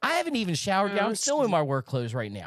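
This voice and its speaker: A man speaks loudly. The recording is very clean with a silent background, and the sound is dry and close with no echo. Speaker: gaming show host. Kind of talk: casual chat.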